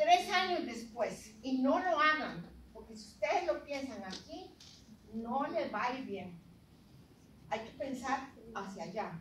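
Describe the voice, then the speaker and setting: In an intense tone, a woman with a high pitch speaks at a very slow pace with long, frequent pauses, very wide pitch swings and big swings in loudness. Audible room echo and noticeable background noise fill the recording. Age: 80s+. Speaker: retired academic, program founder. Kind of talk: speech to an audience. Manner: intense, impassioned; halting, with fillers.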